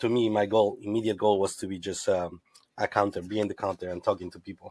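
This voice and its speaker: A man with a Spanish accent rattles along at a very fast pace in a fairly low, monotone voice, his loudness swinging widely in a dry, close sound with no echo. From Ecuador. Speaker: tequila brand representative, former bartender. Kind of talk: interview. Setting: studio.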